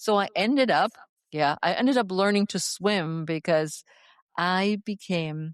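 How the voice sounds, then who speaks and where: Speaking at a fairly slow pace with a slight German accent, a woman of medium pitch keeps a very even loudness and ordinary pitch variation, in a dry, close sound with no echo over a quiet background. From Germany. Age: 60s. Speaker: fitness coach. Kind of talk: interview.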